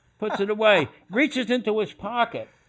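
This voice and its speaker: A man's high-pitched voice with a Philadelphia accent. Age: 80s+. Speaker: retired sports executive. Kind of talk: storytelling interview. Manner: animated.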